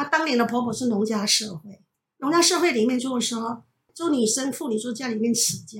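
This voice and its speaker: A woman speaks with a plain, everyday voice at a fairly high pitch. Her intonation is lively and her pace fairly quick. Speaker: retired teacher. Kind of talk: casual family conversation.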